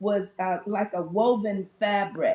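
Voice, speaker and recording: Over music in the background, a woman with an American accent talks at a medium pitch with ordinary pitch variation. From Detroit, US Midwest. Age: 70s. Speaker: audience member. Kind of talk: audience question.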